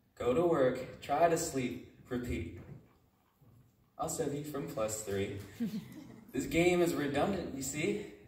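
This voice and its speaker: A man speaks at a very slow pace. There is audible echo in the room. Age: 20s. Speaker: spoken word poet. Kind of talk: spoken word poetry performance. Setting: live audience at a retreat. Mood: earnest, reflective. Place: hall.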